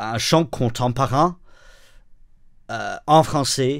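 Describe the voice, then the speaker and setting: In a very clean recording with a silent background, a man with an English accent talks at a very slow pace, his pitch varying in an ordinary way. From northern England. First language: English (speaking French). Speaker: pastor and worship songwriter. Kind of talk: interview. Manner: halting, many hesitations.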